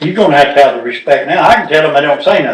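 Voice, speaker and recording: This man speaks with a Southern US accent. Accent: rural Southern US dialect. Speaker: county commissioner. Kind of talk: casual talk in a county meeting.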